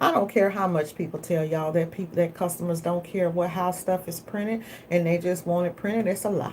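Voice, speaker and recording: An animated woman's voice, fairly low in pitch, with a Southern US accent. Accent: Southern country drawl. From Texas. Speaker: business coach and screen printer. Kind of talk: casual livestream talk. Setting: live video. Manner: fast.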